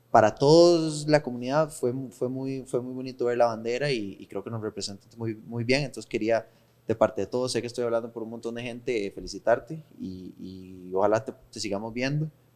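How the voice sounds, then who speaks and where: Talking at a fairly quick pace with hardly any pauses, a man with a Costa Rican accent uses a medium pitch and ordinary pitch variation. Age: 30s. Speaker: podcast host. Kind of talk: casual interview. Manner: halting.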